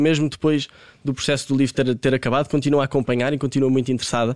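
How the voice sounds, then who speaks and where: A man speaks in a fairly high, monotone, flat voice. The recording is very clean with a silent background, and the sound is dry and close with no echo. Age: 20s. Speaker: football coach and commentator. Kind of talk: interview.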